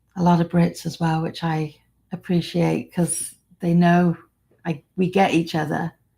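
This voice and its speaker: A woman with an American accent speaks at a fairly slow pace and a fairly low pitch, her tone dark and mellow, somewhat breathy, with monotone, flat intonation. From England. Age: 60s. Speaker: vlogger. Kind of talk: live stream chat. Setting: live stream.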